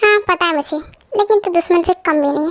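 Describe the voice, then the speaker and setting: This put-on character voice is squeaky, with an extremely high pitch. It moves at a very fast pace. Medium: read story. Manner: cocky, teasing.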